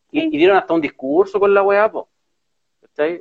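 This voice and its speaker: With a Chilean accent, a man talks at a fairly quick pace, his pitch swinging very widely, in a dry, close sound with no echo. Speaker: political podcast co-host. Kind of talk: casual political chat. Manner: animated.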